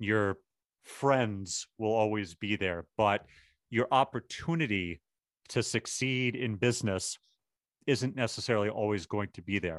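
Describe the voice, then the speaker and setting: In a plain, everyday voice, a man talks at a fairly slow pace and fairly low pitch with ordinary pitch variation, the sound dry and close with no echo over a quiet background. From Boston. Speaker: marketing agency owner. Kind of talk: interview.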